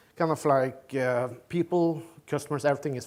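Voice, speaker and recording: With a Norwegian accent, a man speaks in fairly even intonation. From Norway. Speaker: tech company executive, keynote speaker. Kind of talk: conference keynote. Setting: stage with audience. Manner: halting, many fillers and repetitions.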